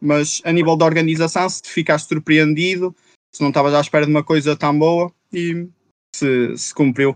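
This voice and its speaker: A man's fairly high voice comes in a monotone, flat intonation at a moderate pace. The sound is dry and close with no echo, and the loudness swings widely. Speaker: podcast host. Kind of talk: casual chat. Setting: livestreamed podcast.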